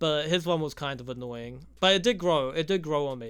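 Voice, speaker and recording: A man with a New Zealand accent speaks at a fairly high pitch and a moderate pace, with ordinary pitch variation. His tone is bright and sharp, and the recording is very clean with a silent background. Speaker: YouTuber, film reviewer. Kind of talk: casual video essay review. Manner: casual, profane.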